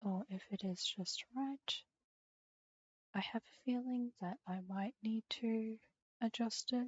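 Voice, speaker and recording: Soft-spoken and somewhat breathy, a woman talks at a very slow pace with ordinary pitch variation. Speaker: streamer. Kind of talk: casual chat. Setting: live stream.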